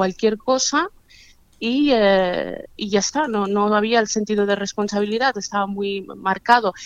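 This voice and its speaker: This is a woman's voice. It has a medium pitch. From Catalonia, Spain. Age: 40s. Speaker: activist against forced marriage. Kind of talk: interview. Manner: halting, many hesitations.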